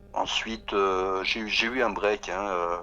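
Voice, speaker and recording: The tone is bright and sharp. Delivery is very slow, with monotone, flat intonation. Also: man. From Paris region, France. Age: 60s. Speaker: singer-songwriter. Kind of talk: radio interview. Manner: halting, many hesitations.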